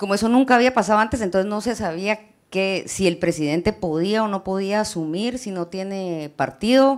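Over a quiet background, a woman with an unremarkable speaking voice talks at a moderate pace and medium pitch, her pitch varying in an ordinary way. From Guatemala. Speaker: journalist. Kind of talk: presentation. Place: hall.

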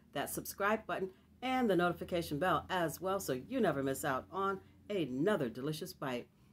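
Over light background noise, a woman talks at a moderate pace with very wide pitch swings. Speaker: food vlogger. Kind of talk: casual mukbang vlog intro and prayer. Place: home room. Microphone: webcam.

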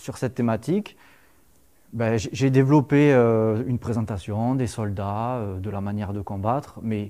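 Against a quiet background, a man speaks fairly slowly in a dark, mellow tone with fairly even intonation. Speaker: lecturer on Roman military history, civil engineer. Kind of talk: lecture. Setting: lecture hall with audience. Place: classroom.

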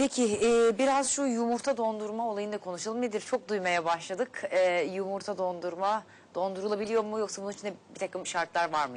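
A woman speaks at a fairly quick pace with hardly any pauses. Her pitch variation is ordinary. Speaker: TV health show host. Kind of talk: live TV talk show. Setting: studio. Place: studio. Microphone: lapel.

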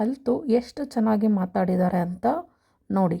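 A woman with a dark, mellow tone and fairly even intonation, on a very clean recording with a silent background. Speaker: vlogger. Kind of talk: vlog narration.

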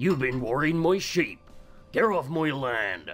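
A put-on character voice at a fairly slow pace, with faint music in the background. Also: man, fairly high pitch for a man. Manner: irritated, warning.

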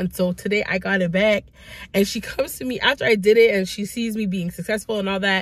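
Fast-paced speech from a woman at medium pitch with fairly even intonation.

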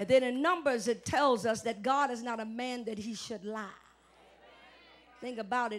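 Speaking at a moderate pace, a woman with a fairly high voice and ordinary pitch variation leaves long, frequent pauses. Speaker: preacher. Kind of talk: live church sermon. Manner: call-and-response, emphatic. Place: church. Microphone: handheld.

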